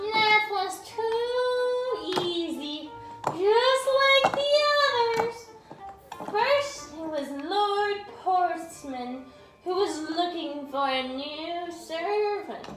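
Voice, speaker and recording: A cartoonish character voice that sounds female, extremely high in pitch, moves at a very slow pace with long, frequent pauses, slight echo and clear background noise. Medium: puppet.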